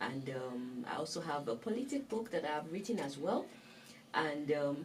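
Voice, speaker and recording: Over noticeable background noise and audible room echo, a woman with a Nigerian accent speaks at a moderate pace in a very deep, low pitch, with very wide pitch swings. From northern Nigeria. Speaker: author and talk show host. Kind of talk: interview.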